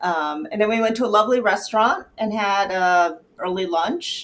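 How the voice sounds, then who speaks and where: At a fairly slow pace, a woman speaks in a plain, everyday voice with ordinary pitch variation. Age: 60s. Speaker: podcast co-host. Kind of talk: casual chat.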